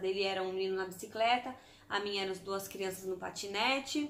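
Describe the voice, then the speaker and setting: Here is a woman with a normal speaking voice. She talks at a fairly quick pace with ordinary pitch variation. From Brazil, Santos. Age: 30s. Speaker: vlogger. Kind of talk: casual vlog storytelling.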